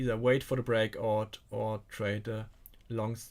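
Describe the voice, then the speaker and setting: In a German accent, a man speaks with monotone, flat intonation. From Germany. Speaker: stock trading coach. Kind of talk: live stream market commentary. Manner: halting.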